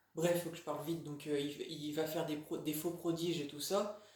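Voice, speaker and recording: A man with a fairly high pitch and monotone, flat intonation, at a fairly slow pace, with audible room echo. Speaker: religious video blogger. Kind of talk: casual monologue. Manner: halting, many fillers.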